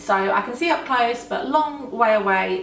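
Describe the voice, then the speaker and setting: A fairly high-pitched woman with lively intonation is heard over noticeable background noise and audible room echo. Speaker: law of attraction vlogger. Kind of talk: casual Q&A vlog.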